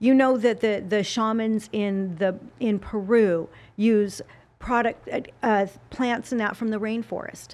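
A woman with an American accent speaks in a normal speaking voice, fairly high in pitch, at a fairly slow pace and with fairly even intonation. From Utah, US (Salt Lake City). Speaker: fitness model and TV spokesperson. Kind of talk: casual interview chat.

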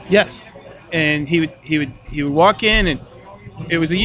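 A man with a fairly high voice and an American accent, at a moderate pace. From Minnesota. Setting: bar lounge.

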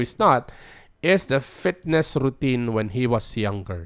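Recorded very cleanly against a silent background, a man with a Filipino accent speaks at a moderate pace. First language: Tagalog. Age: 40s. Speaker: podcast host. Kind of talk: solo monologue podcast. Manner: casual code-switching, halting with fillers.

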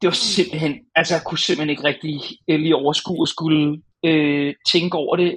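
This man uses a normal speaking voice, fairly high in pitch, speaking at a middling tempo with pitch that moves in a typical way. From Denmark, North Zealand (Hornbæk). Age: 30s. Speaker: games journalist. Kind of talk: casual chat.

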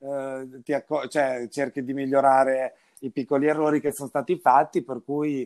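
On a very clean recording with a silent background and a dry, close sound without echo, a man speaks at a moderate pace in a fairly high voice with monotone, flat intonation. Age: 30s. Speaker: winery director. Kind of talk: casual chat.

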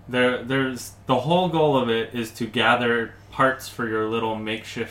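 Man with a normal speaking voice, medium pitch and moderate pace. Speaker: podcast co-host. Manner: laughs often, jokes.

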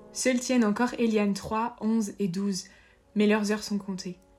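At a moderate pace, a woman speaks in a somewhat breathy voice with fairly even intonation, on a very clean recording with a silent background. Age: 20s. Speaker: podcast host, interviewer. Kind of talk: scripted narration.

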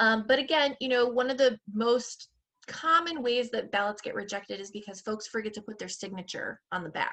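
A woman with an American accent has an unremarkable speaking voice at a fairly high pitch, talking fairly quickly with ordinary pitch variation and big swings in loudness. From Michigan. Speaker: public health academic and voting advocate. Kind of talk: interview on voting.

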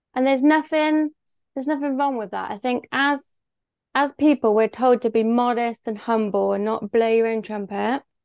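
In a quiet background, a woman with a Bristol accent and a high pitch speaks at a moderate pace with ordinary pitch variation, the sound dry and close with no echo. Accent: Bristol West Country English. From Bristol, England. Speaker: business owner. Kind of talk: casual interview chat.

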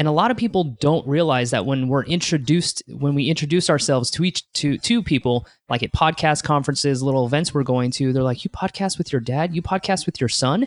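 A man with an unremarkable speaking voice, fairly high in pitch, fairly quick, with ordinary pitch variation and very even loudness, in a dry, close sound with no echo over a quiet background. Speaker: podcast host and event founder. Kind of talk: interview chat.

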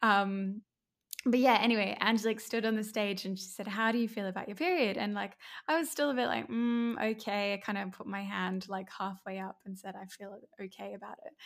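Talking at a fairly quick pace with an Australian accent, a woman keeps a medium pitch and fairly even intonation, with big swings in loudness, on a very clean recording with a silent background. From Brisbane, Australia. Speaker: empowerment coach and personal trainer. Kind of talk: casual interview chat.

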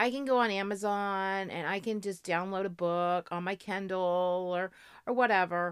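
An unremarkable speaking voice from a woman with an American accent, medium in pitch, at a moderate pace with fairly even intonation, on a very clean recording with a silent background. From Florida. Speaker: travel podcast co-host. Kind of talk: casual chat.

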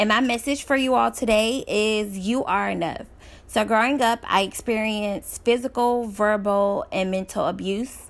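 A woman's ordinary speaking voice with an American accent, fairly high in pitch, fairly even in intonation, at a moderate pace, on a very clean recording with a silent background. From Dallas, Texas. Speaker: author and public speaker. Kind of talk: testimony.

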